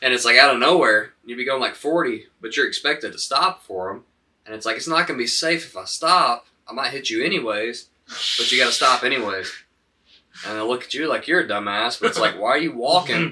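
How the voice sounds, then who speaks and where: Bright and sharp, a man with a Southern US accent talks at a medium pitch and a fairly quick pace, his loudness swinging widely. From US South, Alabama (Huntsville). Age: 20s. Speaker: podcast guest, dispensary worker. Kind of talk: casual chat. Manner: frequent filler 'um'.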